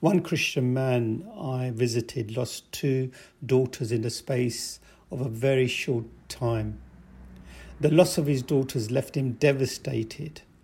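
Somewhat breathy with a dark, mellow tone, the voice moves at a fairly slow pace with ordinary pitch variation. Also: man, medium pitch for a man. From England, raised from early childhood after moving from Pakistan. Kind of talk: interview testimony.

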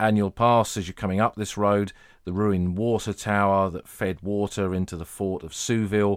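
A man with a very deep, low pitch talks at a moderate pace with fairly even intonation. The recording is very clean, with a silent background. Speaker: podcast host. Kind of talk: scripted-style narration with casual tone, history podcast.

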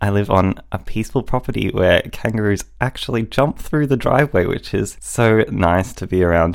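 With an Australian accent, a man speaks at a moderate pace and a fairly low pitch. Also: ordinary pitch variation, hardly any pauses. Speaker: podcast host and writer. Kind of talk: scripted intro and casual panel discussion.

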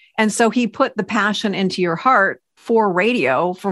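Woman with a plain, everyday voice, fairly high pitch, and lively intonation. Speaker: podcast co-host, radio broadcaster. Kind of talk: faith-based podcast conversation.

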